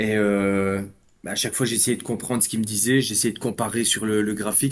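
A man's medium-pitched voice holds fairly even intonation at a moderate speed. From Belgium. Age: 30s. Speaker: amateur trader. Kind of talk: interview.

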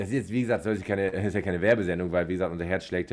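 A man speaks in a very deep, low pitch. The background is quiet. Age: 30s. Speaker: podcast co-host. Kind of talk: casual chat.

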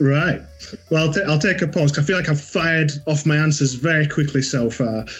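A man with a Yorkshire accent, fairly high-pitched, at a moderate pace, with ordinary pitch variation and very even loudness, music in the background. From Yorkshire, northern England. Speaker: watch brand manager. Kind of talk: interview.

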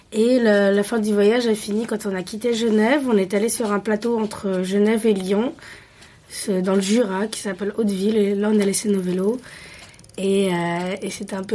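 A woman's medium-pitched, a normal speaking voice at a moderate pace, with fairly even intonation. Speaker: returning expat cyclist. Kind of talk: interview.

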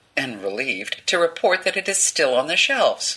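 Someone speaks at a moderate pace against noticeable background noise. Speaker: narrator. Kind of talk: reading aloud.

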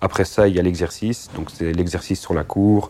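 At a moderate pace, a man talks with a dark, mellow tone and fairly even intonation. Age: 30s. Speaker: firefighter paramedic. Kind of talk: interview.

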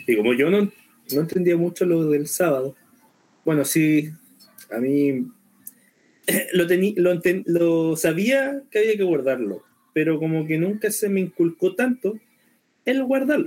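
Taking long, frequent pauses, a man speaks at a fairly slow pace in a high pitch with a dark, mellow tone and very wide pitch swings. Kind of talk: casual chat.

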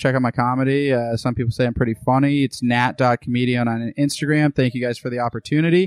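This is an ordinary speaking voice: a man with an American accent, fairly even intonation and a fairly quick pace. The sound is dry and close with no echo, over a quiet background. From Boston area, Massachusetts. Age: 20s. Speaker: comedian. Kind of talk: casual chat.

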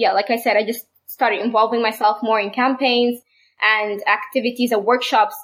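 The speaker has a Sudanese accent. The pitch variation is ordinary. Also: woman. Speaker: medical student and activist. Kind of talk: casual chat.

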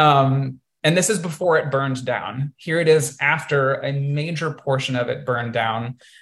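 A man with an unremarkable speaking voice and fairly high pitch keeps a moderate pace with hardly any pauses. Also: ordinary pitch variation. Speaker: podcast host and multidisciplinary artist. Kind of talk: illustrated presentation to a virtual audience, personal storytelling. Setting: video call. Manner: conversational with frequent um and uh fillers.

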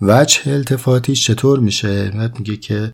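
Somewhat breathy, a man talks at a moderate pace. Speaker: philosophy podcast host. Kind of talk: reflective lecture. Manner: formal.

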